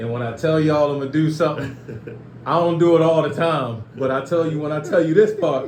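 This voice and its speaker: Over noticeable background noise, a man talks fairly quickly in a fairly high pitch. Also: ordinary pitch variation. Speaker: podcast host. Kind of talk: podcast interview, casual talk.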